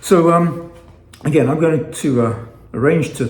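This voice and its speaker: Lively intonation with an American accent, plus audible room echo. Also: man. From England. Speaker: fasting vlogger. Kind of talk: casual vlog monologue. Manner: halting, with frequent fillers and repetitions.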